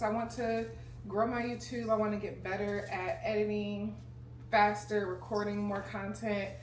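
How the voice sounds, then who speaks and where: Audible room echo can be heard. A woman does the talking. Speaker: lifestyle vlogger. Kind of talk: casual chat. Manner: serious-sounding.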